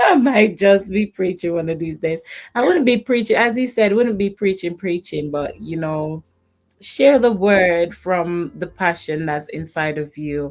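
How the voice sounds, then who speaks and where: A soft-spoken woman, calm in tone, with lively intonation. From Jamaica. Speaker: YouTube creator. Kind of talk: casual chat.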